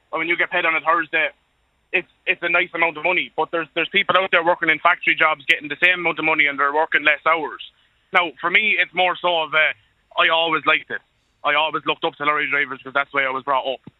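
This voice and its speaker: A man talks at a very fast pace with an Irish accent. His fairly high voice stays monotone and flat. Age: 20s. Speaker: truck driver. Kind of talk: radio phone-in.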